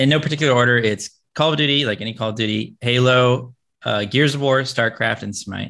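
In a normal speaking voice with an American accent, a man talks at a moderate pace and medium pitch with ordinary pitch variation, on a very clean recording with a silent background. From Tennessee and Florida, US South. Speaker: professional video game player and content creator. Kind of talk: casual interview.

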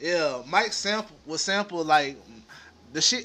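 A man's raised, projected voice with lively intonation. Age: 20s. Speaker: podcast co-host. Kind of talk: casual chat.

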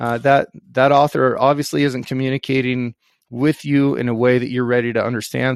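An ordinary speaking voice from a man with an American accent, medium-pitched, at a fairly quick pace, in a dry, close sound with no echo. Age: 30s. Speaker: outfitter, rancher and former Marine officer. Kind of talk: casual chat.

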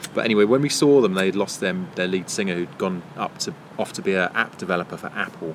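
A man with a British accent speaks at a very fast pace with hardly any pauses. His pitch is very deep and low, and there is noticeable background noise. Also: ordinary pitch variation. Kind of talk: casual banter. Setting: pub garden.

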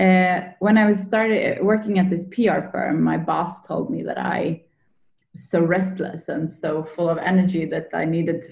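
A woman with a Swedish accent talks at a moderate pace in a fairly low, somewhat breathy voice with fairly even intonation. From Sweden, Linköping. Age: 30s. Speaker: yoga coach. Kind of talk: interview, personal story. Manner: halting, many fillers.

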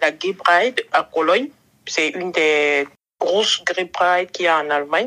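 Her voice is bright and sharp in tone, a woman at medium pitch with ordinary pitch variation. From western Cameroon. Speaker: podcast guest. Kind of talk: interview.

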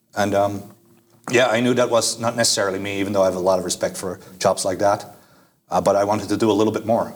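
A man with a Dutch accent and a fairly low pitch talks at a very fast pace in a monotone, flat intonation. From Netherlands. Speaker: student. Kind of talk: casual interview. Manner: hesitant, many fillers.

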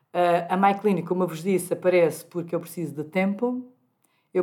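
A woman speaks at medium pitch and a moderate pace. Her tone is dark and mellow. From Portugal, Algarve. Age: 50s. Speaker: gynecologist and clinic director. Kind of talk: interview.

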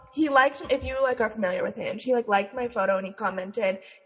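A woman with an American accent, fairly high pitch and ordinary pitch variation, over noticeable background noise. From Utah. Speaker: podcast co-host. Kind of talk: casual chat.

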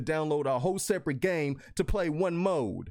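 A high-pitched man talks in an animated tone with lively intonation. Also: very clean recording, silent background. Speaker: gaming podcast host and streamer. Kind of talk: casual chat. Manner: loud and animated.

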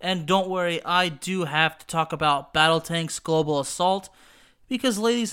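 The recording is very clean, with a silent background, and the pace is moderate. The tone is bright and sharp, with an American accent. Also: man. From Texas. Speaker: wrestling podcast host and video game commentator. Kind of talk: radio-style show opener, then casual nostalgic video game discussion and plot retelling.

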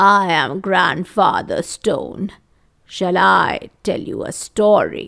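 A woman in a put-on character voice speaks slowly at a fairly low pitch, with lively intonation, a fairly bright tone and vocal fry.

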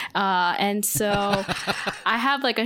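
Her voice is an unremarkable speaking voice at a medium pitch, caught in a very clean recording with a silent background. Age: 20s. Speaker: photographer and filmmaker. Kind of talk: casual chat.

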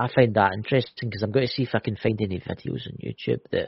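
With a Scottish accent, a man speaks at a very fast pace with a fairly low pitch and lively intonation. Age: 40s.

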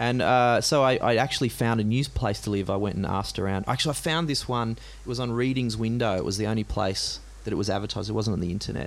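At a very fast pace, a man with an Australian accent and a medium pitch talks with ordinary pitch variation amid audible room echo. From Australia, Gympie, Queensland. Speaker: singer-songwriter. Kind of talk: live interview. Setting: stage with audience. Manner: halting.

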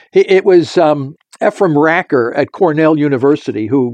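An ordinary speaking voice from a man, fairly high in pitch with lively intonation, at a moderate pace in a dry, close sound with no echo. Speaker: scientist. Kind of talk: interview explaining theory.

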